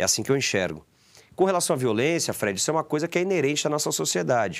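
A man talks at a very fast pace. His pitch swings very widely over a quiet background. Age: 30s. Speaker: football club board member; sports club council member. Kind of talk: interview. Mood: critical, earnest. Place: studio. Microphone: lapel.

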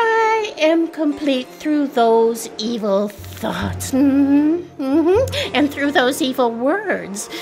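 Her tone is theatrical and playful, with a high pitch and very wide pitch swings. The woman speaks at a very slow pace over music in the background. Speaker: co-narrator voicing the hag character. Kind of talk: dramatic reading, playing the hag character with comic asides. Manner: theatrical, playful, mocking and exaggerated, giggling.

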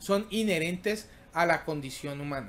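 Here a man talks at a fairly slow pace. His intonation is lively. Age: 40s. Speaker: tech YouTuber hosting a livestream; tech livestream host. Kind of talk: casual live stream chat reading tech news; casual livestream chat. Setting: live stream. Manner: halting, many fillers and repetitions. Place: home room. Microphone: webcam.

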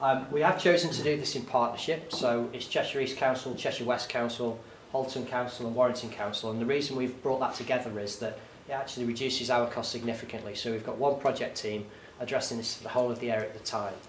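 A man at a very fast pace with fairly even intonation, audible room echo and light background noise. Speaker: public presenter. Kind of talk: presentation talk. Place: meeting room. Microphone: camera far.

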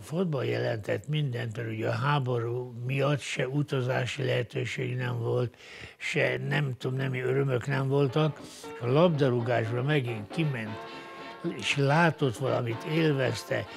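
Over music in the background, a man talks at a fairly slow pace in a medium pitch with ordinary pitch variation. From Hungary. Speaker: retired footballer. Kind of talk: documentary interview answer.

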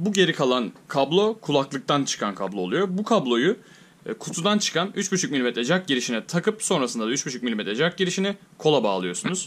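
A man talks at a moderate pace with a fairly high pitch and vocal fry. His pitch swings very widely. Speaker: tech reviewer / YouTuber. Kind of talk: tutorial. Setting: home, recording with headset mic. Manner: casual, explanatory. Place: home room.

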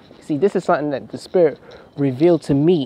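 A man's fairly high voice carries over noticeable background noise. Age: 20s. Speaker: religious vlogger. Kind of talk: rant.

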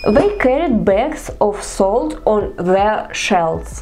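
A woman with a Russian accent at a very slow pace, her pitch swinging very widely, with music in the background. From Perm region, northern Russia. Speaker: vlogger. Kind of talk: casual talk to camera.

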